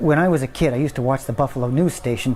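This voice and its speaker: The speaker sounds nervous and talks at a very fast pace. Background noise is noticeable. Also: man. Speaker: actor. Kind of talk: scripted drama dialogue. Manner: hesitant, nervous.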